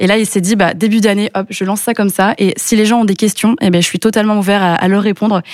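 A woman's very fast, monotone, flat delivery. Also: medium pitch for a woman, very even loudness. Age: 20s. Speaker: entrepreneur. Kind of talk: interview.

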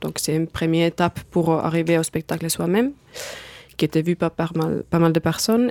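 A woman's fairly low voice with a slight Finnish accent, fairly quick pace, ordinary pitch variation, and a dry, close sound with no echo. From Finland. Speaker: circus artist. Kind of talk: studio interview. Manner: hesitant, non-native phrasing.

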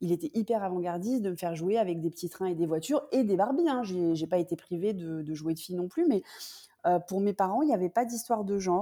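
A woman talks at a very fast pace. Her medium-pitched voice has lively intonation. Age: 40s. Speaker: business consultant. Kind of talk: interview conversation.

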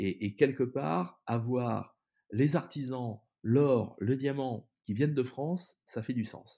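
In a very clean recording with a silent background, a man talks at a very slow pace. His medium-pitched voice has a dark, mellow tone and ordinary pitch variation. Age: 50s. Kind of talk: interview. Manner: halting, many repetitions.

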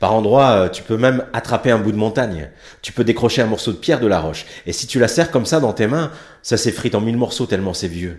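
In a very clean recording with a silent background, a man with an unremarkable speaking voice talks at a fairly quick pace, his pitch medium and his intonation lively. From France, arrived from Morocco at age 4. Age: 40s. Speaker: stage performer. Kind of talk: autobiographical stage monologue.

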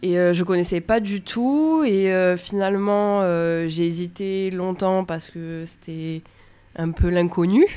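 In a very clean recording with a silent background, a woman speaks at a very slow pace. Her pitch is medium, with ordinary variation. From Bouches-du-Rhône, southern France. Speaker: aquaculture apprentice. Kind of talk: interview.

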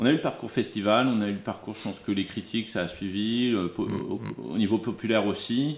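This is a man with a fairly low pitch. His pitch variation is ordinary. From Burgundy, France (Dijon). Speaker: film producer. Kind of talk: interview conversation. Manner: halting, many repetitions and hesitations.

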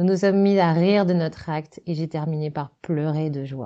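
Talking at a moderate pace, a woman uses a fairly low pitch with ordinary pitch variation. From France, Loiret / Sologne. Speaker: decorator and set designer. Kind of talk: reading aloud.

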